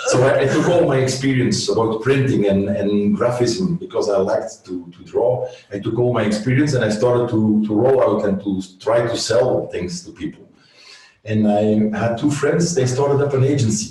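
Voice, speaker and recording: Over noticeable background noise and audible room echo, a man with a Flemish accent talks at a moderate pace and medium pitch with lively intonation. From Flanders, Belgium. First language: Dutch (Flemish). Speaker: agency owner. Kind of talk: interview. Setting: video call webinar. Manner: halting, searching for words.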